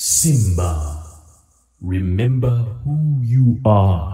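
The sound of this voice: A man puts on a character voice, fairly low in pitch, and speaks at a very slow pace.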